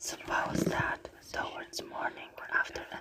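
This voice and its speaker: Whispering very slowly, a woman can be heard. Underneath there is noticeable background noise. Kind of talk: ASMR book reading. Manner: soft-spoken, slow, ASMR style.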